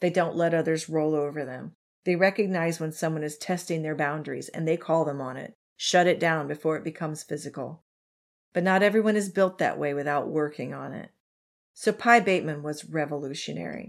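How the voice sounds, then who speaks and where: On a very clean recording with a silent background, a woman with a very deep, low voice talks at a fairly quick pace, her loudness swinging widely and her pitch varying in an ordinary way. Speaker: true crime podcast host. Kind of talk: casual chat and true crime storytelling.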